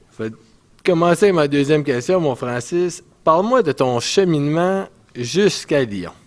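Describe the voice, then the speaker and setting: A man talks in an ordinary speaking voice at a fairly high pitch. His pace is fairly slow and his intonation lively. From Canada, northwestern New Brunswick, Edmundston area. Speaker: ice hockey player. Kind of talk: casual interview.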